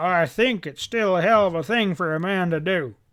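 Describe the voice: A man puts on a growling character voice, high in pitch. He keeps a moderate pace.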